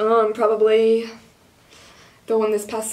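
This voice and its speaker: A woman is speaking. She has a Midwestern American accent. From Kansas. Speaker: college student journalist. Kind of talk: interview. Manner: casual. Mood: cheerful, relaxed. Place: office.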